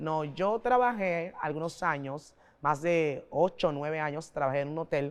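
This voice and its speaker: A woman's very deep, low voice at a fairly slow pace with ordinary pitch variation. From Panama, Colón. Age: 40s. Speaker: pastor. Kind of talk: interview. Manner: oratorical.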